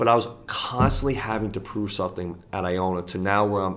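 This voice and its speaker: In a New York accent, a man speaks at a moderate pace with fairly low pitch and fairly even intonation. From US, New York (the Bronx). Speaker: college basketball coach. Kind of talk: casual interview. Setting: college office.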